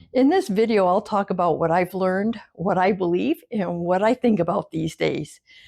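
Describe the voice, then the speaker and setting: Against a quiet background, a woman speaks at a moderate pace in a dark, mellow tone with ordinary pitch variation. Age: 60s. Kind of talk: casual talk to camera. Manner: reflective.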